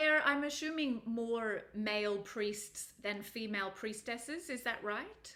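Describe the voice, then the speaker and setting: A plain, everyday voice from a woman, fairly high in pitch with ordinary pitch variation, at a fairly slow pace with hardly any pauses. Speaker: podcast host. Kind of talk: podcast interview questions.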